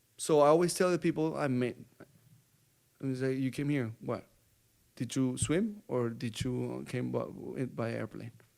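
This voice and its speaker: A man with a Colombian accent speaks at a medium pitch with ordinary pitch variation. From Bogotá, Colombia. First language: Spanish. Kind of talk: interview answer.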